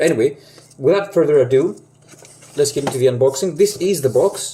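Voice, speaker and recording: Someone with a Greek accent talks at a fairly quick pace. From Greece. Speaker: aviation model collector YouTuber. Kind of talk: unboxing video talk. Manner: hesitant, many fillers.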